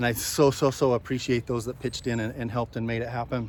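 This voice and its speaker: A man is speaking. He talks at a very fast pace. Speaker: real estate broker. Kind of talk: casual chat. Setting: outdoors. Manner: loud.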